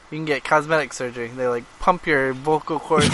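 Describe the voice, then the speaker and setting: Through noticeable background noise, a man with a fairly high pitch speaks at a fairly quick pace. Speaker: podcast co-host.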